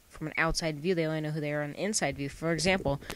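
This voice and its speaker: The speech is mumbled. It moves at a very fast pace. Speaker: gaming YouTuber. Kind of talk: gameplay commentary. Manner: mumbling.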